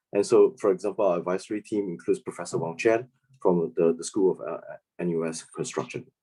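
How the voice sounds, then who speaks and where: At a very fast pace, a man talks with a Singaporean accent. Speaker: startup founder and CEO. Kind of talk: business presentation.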